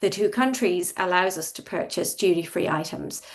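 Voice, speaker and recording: With an Irish accent, a woman talks at a moderate pace with ordinary pitch variation. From Ireland. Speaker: industry expert panelist. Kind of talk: panel discussion.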